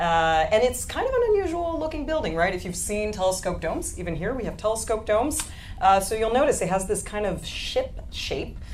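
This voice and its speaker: With audible room echo and noticeable background noise, a woman talks at a fairly quick pace, her fairly high pitch making very wide swings. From France. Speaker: astronomy presenter. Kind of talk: live science panel presentation. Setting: live show with studio audience.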